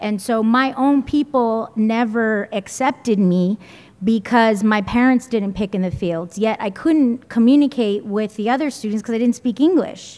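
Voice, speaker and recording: A woman's fairly high-pitched voice with a Spanish accent, ordinary pitch variation and a moderate pace. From San Jose area, California. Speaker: school board trustee. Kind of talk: panel talk. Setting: community meeting.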